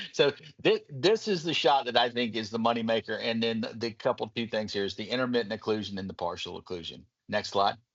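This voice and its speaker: A man talks at a fairly quick pace with a Southern US accent. His pitch is medium, with ordinary variation. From Kentucky, US South. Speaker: medical device physician presenter. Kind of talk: webinar presentation.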